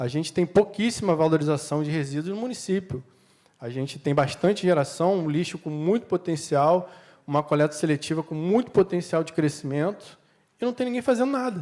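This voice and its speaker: A man's fairly high voice in a dark, mellow tone with lively intonation. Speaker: panel speaker from city waste management company. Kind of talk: conference panel talk. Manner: fast.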